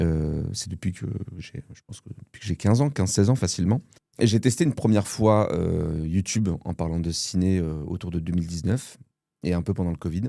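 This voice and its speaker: Recorded very cleanly against a silent background, a man with a very deep, low pitch and a dark, mellow tone speaks at a fairly quick pace, using ordinary pitch variation and big swings in loudness. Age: 30s. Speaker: film content creator. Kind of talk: casual interview chat.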